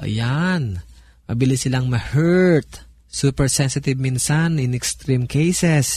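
A somewhat breathy man's voice at a very slow pace. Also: very even loudness. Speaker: pastor. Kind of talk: radio talk on family life.

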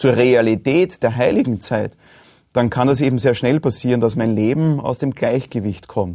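A man's dark, mellow voice at a medium pitch with ordinary pitch variation, in a very clean recording with a silent background. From Austria, rural Lower Austria. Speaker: pastor and theologian. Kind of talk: studio conversation. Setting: studio.

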